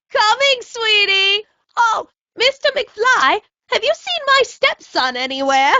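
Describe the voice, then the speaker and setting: This female-sounding put-on character voice, with an extremely high pitch for a woman, moves at a fairly slow pace through very wide pitch swings. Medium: video game. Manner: sugary, chirpy.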